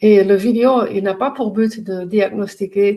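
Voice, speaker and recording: Her pitch medium, a woman speaks with a dark, mellow tone. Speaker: pain coach and trainer. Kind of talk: educational talk to camera. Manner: halting, many hesitations.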